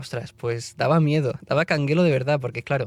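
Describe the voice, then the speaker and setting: A man in a Barcelona accent, fairly high in pitch and fairly quick in pace, with music in the background. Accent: Barcelona Spanish accent, kept. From Spain, Barcelona then Madrid area. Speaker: classical musician and conductor. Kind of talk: podcast interview, casual chat. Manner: animated, chatty.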